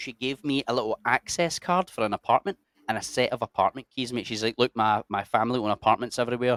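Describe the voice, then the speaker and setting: With a Scottish accent, a man talks very fast at a medium pitch with ordinary pitch variation, in a dry, close sound with no echo. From Scotland, Cumbernauld. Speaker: army veteran and adventure YouTuber. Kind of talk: casual chat. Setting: podcast studio.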